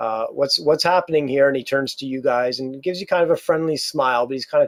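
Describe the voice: This is plain reading aloud, with ordinary pitch variation.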